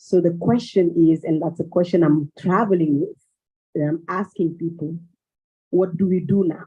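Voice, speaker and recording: The speaker talks at a moderate pace with a Malian accent. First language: Bambara. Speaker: cultural exchange organizer. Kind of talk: panel discussion.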